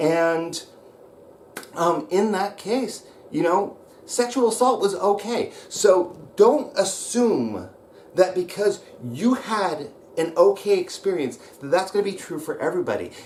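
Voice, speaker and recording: Shouting with lively intonation, a man with an American accent speaks fairly slowly at a high pitch over noticeable background noise. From US Pacific Northwest (Roseburg, Oregon). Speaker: wrestling coach / channel host. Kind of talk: angry vlog rant. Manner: hesitant fillers (um, uh).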